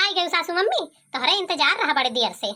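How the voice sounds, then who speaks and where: A woman performs a squeaky, cartoonish character voice at an extremely high pitch. She talks fairly quickly with lively intonation and very even loudness. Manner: nagging, haggling.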